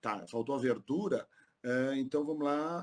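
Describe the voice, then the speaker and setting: A man speaks at a fairly slow pace. He has a plain, everyday voice with a fairly high pitch. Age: 50s. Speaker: polyglot tour guide. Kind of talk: podcast interview.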